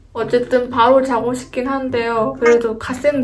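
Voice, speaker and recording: A high-pitched woman's voice moves at a moderate pace, with noticeable background noise present. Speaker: office worker and video editor vlogger. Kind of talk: vlog narration. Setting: company dormitory room.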